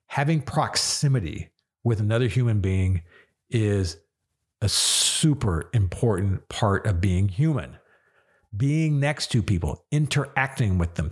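A man speaks in a fairly low pitch with lively intonation. His voice is somewhat breathy. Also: very clean recording, silent background. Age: 50s. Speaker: radio show host. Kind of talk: solo monologue. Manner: emotional.

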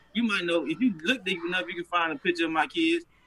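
Over noticeable background noise, a man with a high pitch talks very fast with lively intonation. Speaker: rapper. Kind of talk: casual chat.

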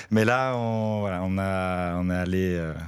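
The man's voice is very deep and low. He keeps his intonation fairly even. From France. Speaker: neighbourhood resident and volunteer. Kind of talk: radio interview.

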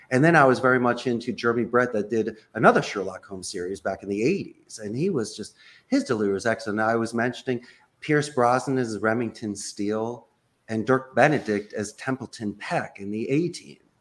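A man with an American accent speaks in a normal speaking voice at a medium pitch, with ordinary pitch variation and a fairly quick pace. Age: 50s. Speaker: call center executive. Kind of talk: interview conversation. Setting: video call.

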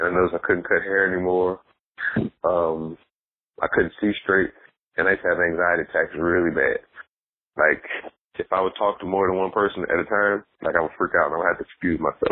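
A man at a fairly quick pace with very even loudness and long, frequent pauses. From East St. Louis, Illinois. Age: 30s. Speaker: comedian and historian. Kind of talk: casual chat. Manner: animated.

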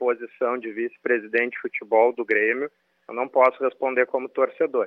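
The speaker is a man. He talks with monotone, flat intonation. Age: 40s. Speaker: football club director. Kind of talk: radio interview. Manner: formal, measured.

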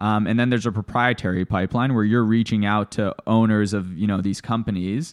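Talking at a fairly quick pace with hardly any pauses, a man uses an unremarkable speaking voice, fairly low in pitch with fairly even intonation. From Canada (Toronto), born in Bulgaria. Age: 20s. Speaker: former private equity investor. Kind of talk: interview.

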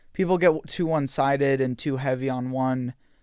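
Recorded very cleanly against a silent background, a man with an ordinary speaking voice talks in a fairly high pitch with ordinary pitch variation. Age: young. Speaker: podcast host. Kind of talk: interview conversation.

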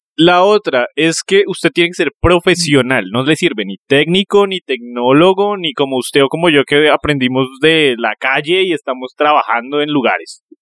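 An ordinary speaking voice moves at a moderate pace with hardly any pauses. The intonation is lively. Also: man, fairly high pitch for a man. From Colombia, Neiva (Huila). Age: 30s. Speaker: podcast co-host. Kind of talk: casual chat. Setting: recording with a phone camera.

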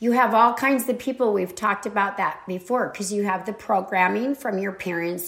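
Noticeable background noise sits behind the voice. Its intonation moves in a lively way. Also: woman. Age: 60s. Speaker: podcast host. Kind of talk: casual spiritual monologue. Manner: rambling, many fillers.

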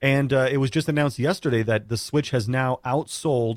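A man with a plain, everyday voice speaks at medium pitch and a moderate pace, with ordinary pitch variation, in a dry, close sound with no echo. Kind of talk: radio co-host banter, upbeat segment-break patter. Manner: bright, punchy, jokey, chatty, broadcast-smooth.

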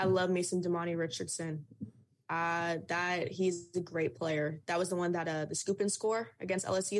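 In a normal speaking voice, a woman with an American accent talks at a fairly low pitch with fairly even intonation. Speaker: student sports journalist. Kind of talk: interview chat.

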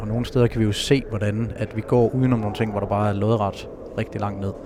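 Over noticeable background noise, a man speaks fairly quickly at medium pitch, his intonation monotone and flat. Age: 30s. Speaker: avalanche survivor and speaker. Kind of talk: personal testimony. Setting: ski shop.

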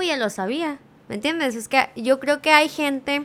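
Delivered at a fairly quick pace, a plain, everyday voice with ordinary pitch variation comes through a very clean recording with a silent background. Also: woman. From California, US (Mexican-American). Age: 20s. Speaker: social media creator. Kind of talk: casual chat. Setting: studio.

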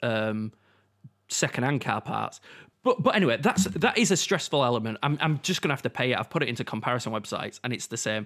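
A man talks at a very fast pace in a Yorkshire accent, with lively intonation. The recording is very clean, with a silent background and a dry, close sound with no echo. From Yorkshire, England. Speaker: podcast co-host. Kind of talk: casual chat.

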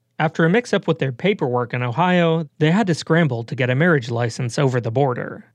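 With a plain, everyday voice, a man talks at a fairly quick pace and ordinary pitch variation over a quiet background. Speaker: radio reporter. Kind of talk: radio feature narration.

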